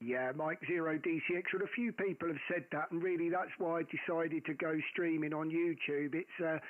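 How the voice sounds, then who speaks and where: Speaking at a fairly quick pace with hardly any pauses, a man holds high pitch, fairly even intonation and very even loudness. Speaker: ham radio operator. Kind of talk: radio contact. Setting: amateur radio contact.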